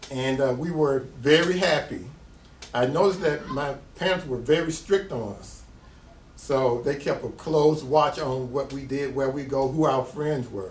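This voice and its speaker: With an American accent, a man with a fairly high voice speaks at a fairly slow pace, his pitch varying in an ordinary way and his loudness swinging widely, while room echo is audible. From US South. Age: 60s. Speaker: artist. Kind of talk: interview.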